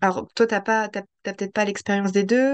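The sound is dry and close with no echo as a woman speaks at a fairly slow pace with fairly even intonation. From Paris region, France. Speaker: podcast host. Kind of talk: interview conversation.

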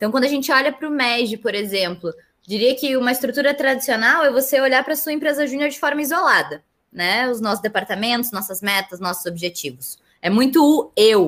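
Her voice pitched high, a woman talks at a fairly quick pace with lively intonation. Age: 20s. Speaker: business student and federation president. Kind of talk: podcast interview.

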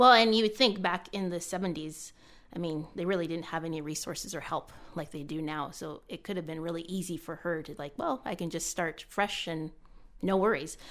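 In a Canadian accent, a woman talks with a normal speaking voice, fairly low in pitch, at a moderate pace, with ordinary pitch variation and big swings in loudness. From Canada. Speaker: former Olympic athlete. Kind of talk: casual chat.

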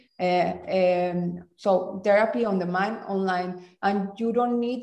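Here a woman talks with a Spanish accent at a medium pitch. Her tone is dark and mellow, and her pace is very slow. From Mexico. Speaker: design master's student, former design teacher. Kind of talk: casual interview.

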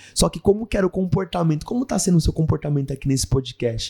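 A man's dark, mellow, somewhat breathy tone with lively intonation. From Brazil, São Paulo (ABC Paulista). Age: 20s. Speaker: actor and missionary. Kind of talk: casual interview.

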